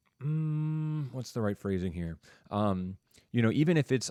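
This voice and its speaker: A plain, everyday voice from a man at a moderate pace, lively in intonation, with a dry, close sound and no echo. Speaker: teacher. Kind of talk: online class discussion. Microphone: studio mic with sound board.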